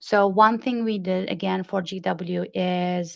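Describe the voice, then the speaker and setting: Fairly even intonation from a woman of medium pitch with a non-native accent. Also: quiet background. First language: not English. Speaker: community consultant. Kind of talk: podcast interview.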